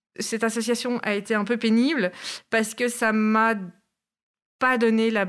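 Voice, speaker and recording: A woman with a Brussels accent and a fairly high pitch, at a fairly slow pace with long, frequent pauses, on a very clean recording with a silent background. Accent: Brussels Belgian French. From Belgium, Brussels. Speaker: traveller, former bush lodge resident. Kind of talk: casual interview.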